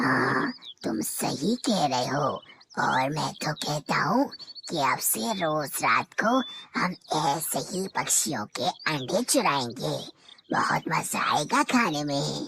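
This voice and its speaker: A raspy, hissing cartoonish character voice at a low-to-middle pitch moves along at a fairly slow pace. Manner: sly, scheming, punctuated by hisses.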